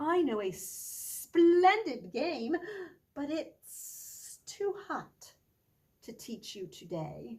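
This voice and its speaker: A put-on character voice, high-pitched and hissing, goes at a very slow pace. Its pitch swings very widely. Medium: read story.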